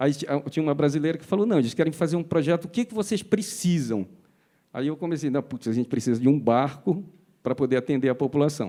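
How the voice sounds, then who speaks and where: Speaking at a very fast pace, a man with a fairly high pitch and a dark, mellow tone uses lively intonation on a very clean recording with a silent background. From Pará, Brazil. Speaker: foundation executive. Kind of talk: panel discussion.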